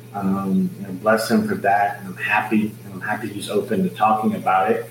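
Amid noticeable background noise, a man speaks with an American accent. His fairly low pitch shows ordinary variation at a fairly slow pace. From Laredo, Texas. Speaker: wrestling and boxing ring announcer. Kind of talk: casual interview chat. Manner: upbeat, enthusiastic, hesitant with filler words.

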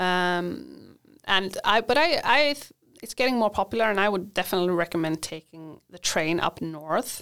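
A woman with a Swedish accent uses lively intonation at a moderate pace on a very clean recording with a silent background. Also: medium pitch for a woman, big swings in loudness. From Sweden. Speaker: university international coordinator. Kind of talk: casual interview.

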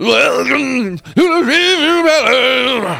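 Using a put-on character voice, a man projects at an extremely high pitch and a very slow pace. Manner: nu metal vocal style.

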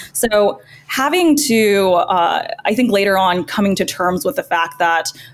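Here a woman has a plain, everyday voice at medium pitch. Her intonation is lively and her loudness stays very even. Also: fairly slow pace. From US, moved from China at four. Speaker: content creator, former lawyer. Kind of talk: casual interview.

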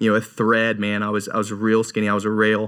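This man has a bright, sharp tone and speaks with an American accent. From North Carolina. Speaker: evangelist. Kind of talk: casual interview, testimony.

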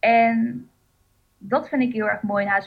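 A woman speaks in a plain, everyday voice. Her pitch is fairly high, and her intonation stays fairly even. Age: 20s. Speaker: coach and blogger. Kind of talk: casual interview.

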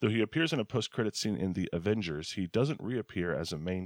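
On a very clean, silent-background recording with a dry, close sound and no echo, a man talks very fast with lively intonation. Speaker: podcast co-host. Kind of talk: casual chat.

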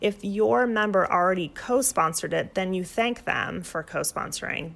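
A woman with a normal speaking voice and fairly low pitch talks at a moderate pace with ordinary pitch variation, in a very clean recording with a silent background. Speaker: women's health advocate and professor. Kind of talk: explanatory interview.

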